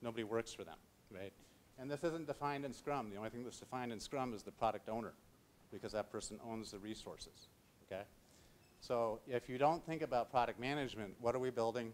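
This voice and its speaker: A man at medium pitch talking at a very fast pace with ordinary pitch variation. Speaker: technology speaker. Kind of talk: conference talk.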